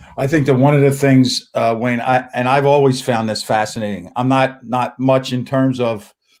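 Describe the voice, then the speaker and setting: An ordinary speaking voice from a man at a medium pitch, with fairly even intonation, a moderate pace and hardly any pauses. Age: 60s. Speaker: college basketball coach. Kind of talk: casual interview.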